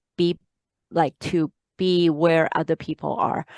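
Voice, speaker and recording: A woman speaks at a very deep, low pitch and a moderate pace, with monotone, flat intonation. The sound is dry and close with no echo, against a quiet background. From Hong Kong, moved to Canada at 10. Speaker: author and life coach. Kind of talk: interview. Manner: hesitant, many fillers.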